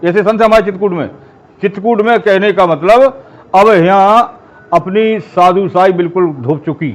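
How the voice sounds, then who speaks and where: A man's high-pitched voice with ordinary variation in pitch. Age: 70s. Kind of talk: interview.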